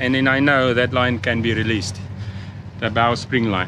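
Against clear background noise, a man talks at a moderate pace.

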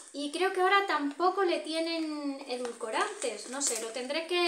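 A high-pitched woman at a fairly slow pace, with audible room echo and light background noise. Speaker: vlogger. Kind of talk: casual vlog chat. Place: home room. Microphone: phone near.

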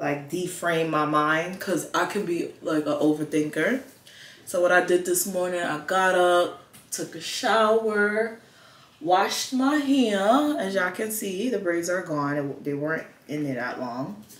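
Audible room echo around a woman speaking fairly slowly at a fairly low pitch. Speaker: vlogger. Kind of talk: casual vlog chat. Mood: relaxed, upbeat. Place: home room. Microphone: camera far.

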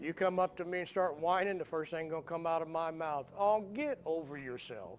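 A man's high voice at a fairly quick pace, with ordinary pitch variation over light background noise. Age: 60s. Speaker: pastor. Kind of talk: sermon. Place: church.

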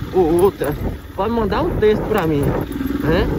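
The recording is dry with no echo, yet loud background noise is present. A man speaks at a high pitch. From Brazil. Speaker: motovlogger. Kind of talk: motovlog narration while riding. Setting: outdoors on a motorcycle, wearing a helmet. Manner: casual, animated. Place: motorbike. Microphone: phone near.

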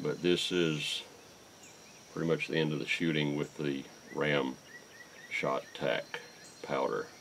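Over noticeable background noise, a man speaks at a very slow pace. He leaves long, frequent pauses. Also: very even loudness. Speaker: YouTube shooting and reloading channel host. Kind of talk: tutorial. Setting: outdoors at a shooting range. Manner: halting.

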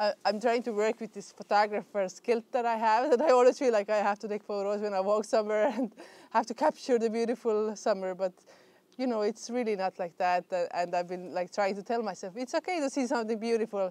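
A woman's very fast voice, dark and mellow in tone, with ordinary pitch variation and a dry sound with no echo. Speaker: beekeeper vlogger. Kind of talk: casual vlog chat. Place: garden.

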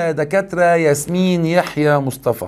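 In an animated tone, a man with an Egyptian accent speaks at a high pitch. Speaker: English teacher. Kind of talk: lecture. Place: studio.

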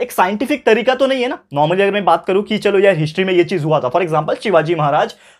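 A man's high-pitched voice with lively intonation. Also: quiet background. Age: 20s. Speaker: tutor. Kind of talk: lecture. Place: classroom.

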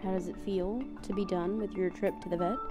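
A woman is speaking. Clear music can be heard behind her. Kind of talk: playful mock interview. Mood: playful, affectionate. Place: home room. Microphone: handheld.

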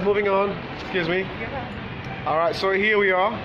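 A raised, projected voice carries over music playing in the background. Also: man. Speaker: vlogger. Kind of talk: casual vlog chat. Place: market. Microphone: phone near.

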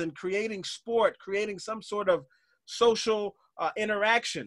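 Against a quiet background, a man with a high pitch talks at a moderate pace with fairly even intonation. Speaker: podcast host and motivational coach. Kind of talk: casual interview. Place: home room. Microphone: video call.

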